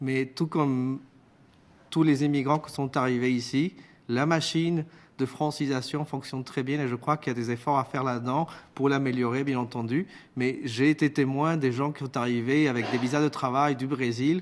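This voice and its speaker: Over a quiet background, a man speaks at medium pitch and a moderate pace with fairly even intonation. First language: Spanish (speaking French). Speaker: witness at parliamentary committee. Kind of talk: parliamentary committee testimony. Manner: formal.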